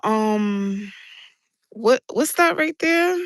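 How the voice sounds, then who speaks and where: In a New York accent, a woman speaks at a very slow pace with a fairly high pitch and lively intonation, the sound dry and close with no echo over a quiet background. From New York City (Brooklyn/South Bronx). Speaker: livestreamer. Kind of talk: casual livestream chat. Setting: outdoors on a rooftop.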